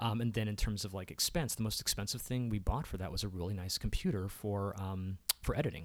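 Speaking very fast with hardly any pauses, a man with a fairly low voice and an American accent uses ordinary pitch variation. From Maryland, Baltimore County. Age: 40s. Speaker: filmmaker and content strategist. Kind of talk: casual chat.

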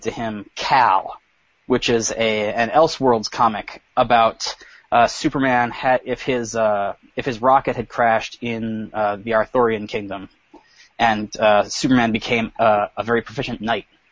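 Using an ordinary speaking voice, a man speaks at a fairly slow pace and medium pitch with fairly even intonation. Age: 30s. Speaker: entertainment journalist. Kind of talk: casual chat. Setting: video call.

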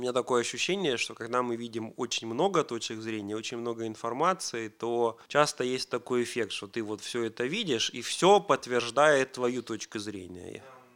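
Speaking at a moderate pace, a man keeps a medium pitch with ordinary variation. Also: hardly any pauses. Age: 40s. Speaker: programming teacher and software engineer. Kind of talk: casual chat.

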